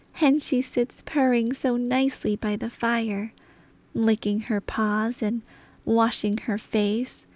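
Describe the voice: Someone reads plainly aloud, the intonation staying fairly even.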